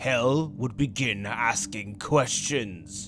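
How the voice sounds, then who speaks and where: A man performs in a put-on character voice. Music plays in the background. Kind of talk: comic dub role play. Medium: dub.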